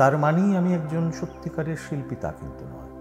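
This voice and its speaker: A man speaks with music playing in the background. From Chittagong, Bangladesh. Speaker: reciter. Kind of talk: interview answer.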